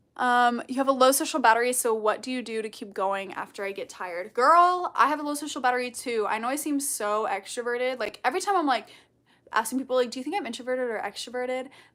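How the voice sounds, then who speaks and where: A woman speaks very fast and loud, high in pitch, with lively intonation and a bright, sharp, bubbly tone. The recording is very clean, with a silent background. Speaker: content creator. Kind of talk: livestream Q&A chat. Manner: loud and bubbly.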